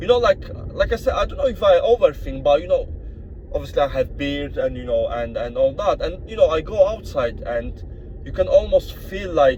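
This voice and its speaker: Through noticeable background noise, a man with a strong Polish accent speaks at a moderate pace, with big swings in loudness. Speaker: vlogger. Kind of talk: casual vlog monologue. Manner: halting, many fillers and repetitions.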